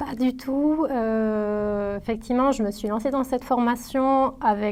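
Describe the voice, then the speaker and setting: A woman at a very slow pace, fairly high pitch, fairly even intonation. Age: 30s. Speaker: former student, marketing professional. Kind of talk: testimony. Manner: hesitant, many fillers and repetitions.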